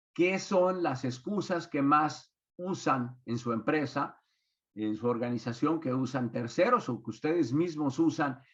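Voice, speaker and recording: With an unremarkable speaking voice, a man talks at a fairly slow pace, his fairly high pitch showing ordinary pitch variation. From Mexico. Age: 60s. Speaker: business consultant and speaker. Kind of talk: webinar talk.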